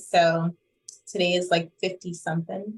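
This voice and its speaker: A woman with a medium pitch speaks at a fairly slow pace. Her voice is somewhat breathy. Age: 40s. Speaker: meditation guide and yoga instructor. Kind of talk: casual chat.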